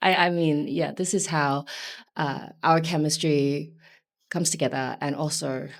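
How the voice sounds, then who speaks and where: A woman's very deep, low voice with vocal fry and fairly even intonation, in a very clean recording with a silent background. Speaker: singer in indie pop duo. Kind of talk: interview.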